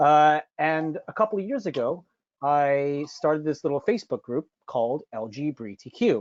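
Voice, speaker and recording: A man with an ordinary speaking voice talks in an American accent at a fairly high pitch. His pace is moderate and his intonation lively. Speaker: cheesemonger, panelist. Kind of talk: webinar panel presentation. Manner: many filler words (uh).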